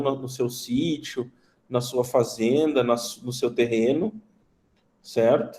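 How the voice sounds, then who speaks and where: Speaking very slowly in a southern Brazilian accent, a man with a medium pitch and a dark, mellow tone keeps a monotone, flat intonation. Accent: southern Brazilian (gaúcho). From southern Brazil, Rio Grande do Sul. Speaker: teacher, veterinarian. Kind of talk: online class lecture. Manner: conversational, many fillers.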